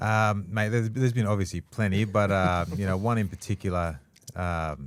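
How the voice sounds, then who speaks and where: A man's fairly low-pitched voice at a moderate pace, a plain, everyday voice with ordinary pitch variation. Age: 30s. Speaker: retired rugby league player. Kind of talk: casual chat.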